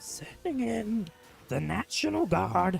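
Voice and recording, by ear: Over music in the background, a put-on character voice, nasal and at a low-to-middle pitch, moves at a fairly slow pace.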